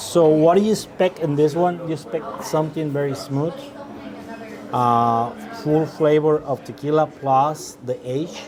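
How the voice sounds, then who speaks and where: Amid noticeable background noise, a man speaks fairly slowly in a fairly high pitch with ordinary pitch variation. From Mexico, Jalisco. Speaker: restaurant owner and tequila expert. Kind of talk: tasting class. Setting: restaurant. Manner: halting, many fillers.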